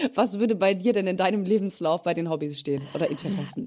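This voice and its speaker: A woman speaks quickly, at a medium pitch and with lively intonation. Her tone is dark and mellow. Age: 30s. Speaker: podcast co-host. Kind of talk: casual chat.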